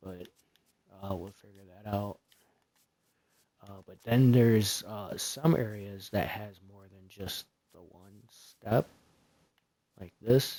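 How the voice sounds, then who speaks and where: Soft-spoken and very slow, a man with a fairly low pitch and a dark, mellow tone speaks with ordinary pitch variation, big swings in loudness and long, frequent pauses. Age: 30s. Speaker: gaming streamer. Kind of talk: live gameplay commentary. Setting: live stream. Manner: hesitant, many fillers.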